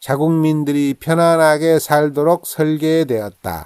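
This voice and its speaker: At a very slow pace, a man talks with fairly even intonation in a fairly high-pitched voice. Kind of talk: quote reading, calm narration of famous sayings.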